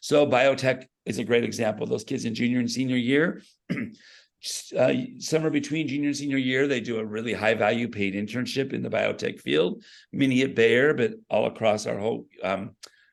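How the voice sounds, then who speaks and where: A man's medium-pitched voice with vocal fry, fairly quick in pace, with ordinary pitch variation. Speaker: school career pathways educator. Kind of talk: presentation at a meeting.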